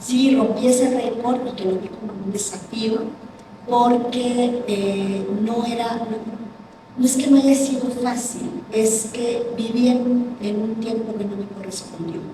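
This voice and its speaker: A woman speaks very slowly at a fairly high pitch with monotone, flat intonation. Her voice carries audible room echo over noticeable background noise. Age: 60s. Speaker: business executive. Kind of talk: panel discussion.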